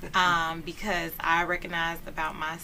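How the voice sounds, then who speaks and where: The voice has a bright, sharp tone, with audible room echo around it. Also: woman. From Texas, Houston. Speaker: lawyer and community organizer. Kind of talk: talk show interview. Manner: casual, conversational.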